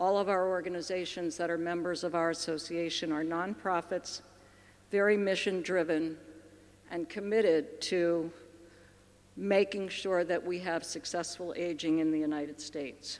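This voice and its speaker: A woman with an American accent speaks at a fairly low pitch. Her pace is moderate and her intonation fairly even. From US, Baltimore, Maryland. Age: 60s. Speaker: aging policy expert. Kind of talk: conference keynote talk.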